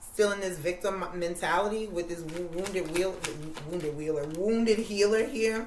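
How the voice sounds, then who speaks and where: A woman talks at a moderate pace while noticeable background noise and audible room echo fill the recording. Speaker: tarot reader. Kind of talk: tarot reading. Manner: casual, conversational.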